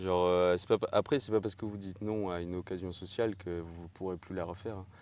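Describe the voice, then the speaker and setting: A man's very deep, low voice in a flat monotone at a very fast pace, over a quiet background. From Tahiti. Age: 20s. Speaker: fitness podcast co-host, bodybuilder. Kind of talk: casual chat. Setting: at home.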